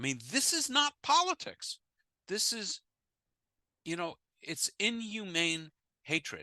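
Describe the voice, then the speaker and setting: A man with an American accent speaks with lively intonation, a bright, sharp tone and vocal fry, in a dry, close sound with no echo. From United States. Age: 70s. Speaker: rabbi and former physicist leading an interfaith class. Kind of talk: lecture with audience Q&A. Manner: halting, with repetitions and fillers.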